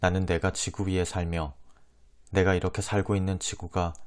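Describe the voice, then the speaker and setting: This man's voice sits at a very deep, low pitch. He talks at a moderate pace with a calm tone. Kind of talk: audiobook reading of a classic novel. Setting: close lapel microphone. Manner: soft-spoken, calm ASMR reading.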